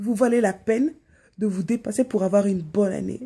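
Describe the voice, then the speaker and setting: A woman with a dark, mellow tone speaks at a fairly quick pace. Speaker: YouTuber. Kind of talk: motivational new year vlog. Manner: fast; animated.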